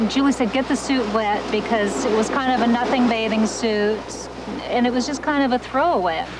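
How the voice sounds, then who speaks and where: A woman's fairly high voice at a moderate pace, with ordinary pitch variation and very even loudness, plus audible room echo and noticeable background noise. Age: 40s. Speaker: former swimsuit model. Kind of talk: interview testimony.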